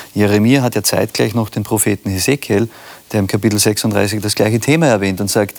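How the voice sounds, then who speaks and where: A man speaks at a moderate pace with a fairly low pitch and ordinary pitch variation, noticeable noise sounding in the background. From Austria. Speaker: pastor, church leader. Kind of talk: casual discussion.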